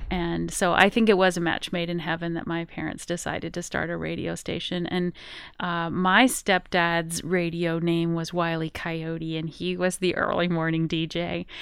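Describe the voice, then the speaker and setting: A woman with an American accent speaks at a moderate pace in a fairly low, monotone, flat voice with hardly any pauses. The recording is very clean, with a silent background. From Colorado, rural Rocky Mountains. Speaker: head of a broadcasters' federation. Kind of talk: radio interview. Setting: radio studio.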